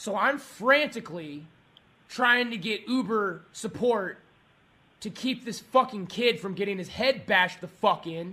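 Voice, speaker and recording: A man shouts in an angry tone with a high pitch, a bright, sharp tone and a raised, projected voice. His loudness swings widely and his pace is fairly slow. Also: ordinary pitch variation. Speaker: angry customer. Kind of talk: heated complaint call. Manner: angry, shouting.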